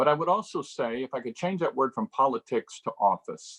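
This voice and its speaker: With a dry, close sound and no trace of echo, a man delivers his words at a fairly quick pace. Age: 60s. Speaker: political candidate, incumbent state representative. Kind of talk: candidate interview answers.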